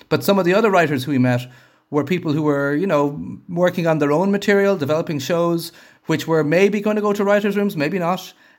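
Here a man with an Irish accent talks at a fairly quick pace. His pitch is high, with ordinary variation. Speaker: TV and film director. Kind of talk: interview. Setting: video call.

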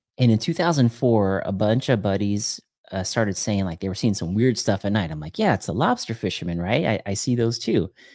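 A man with a normal speaking voice talks at a fairly low pitch with lively intonation, fairly quickly and with hardly any pauses. The recording is very clean, with a silent background. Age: 40s. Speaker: podcaster and YouTuber. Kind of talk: casual chat.

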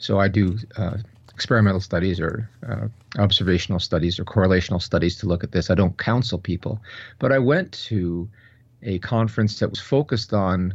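Here a man talks at a fairly quick pace with a fairly low pitch, an unremarkable speaking voice. The background is quiet. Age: 60s. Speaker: professor and researcher. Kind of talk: interview.

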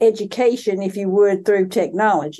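At a moderate pace, a woman speaks in a medium pitch with a dark, mellow tone and ordinary pitch variation. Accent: American. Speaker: podcast host, education professor. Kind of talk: interview.

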